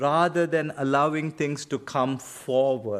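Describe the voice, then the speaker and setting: A man speaks with a Karnataka accent on a very clean recording with a silent background. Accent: Indian English (Kannada). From India (Karnataka). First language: Kannada. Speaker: seminary professor and pastor. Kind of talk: lecture with Q&A answer. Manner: conversational, self-correcting.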